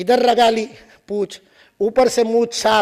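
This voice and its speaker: A man with a Marathi accent speaks at an extremely high pitch. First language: Marathi (speaking Hindi). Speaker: invited speaker and author. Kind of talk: lecture. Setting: stage with audience. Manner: animated.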